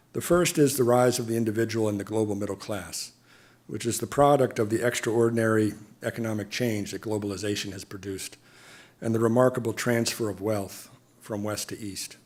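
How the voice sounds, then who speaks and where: A man with an American accent talks at a fairly quick pace in an unremarkable speaking voice, pitched medium with fairly even intonation. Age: 60s. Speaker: diplomat. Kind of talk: lecture. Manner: formal.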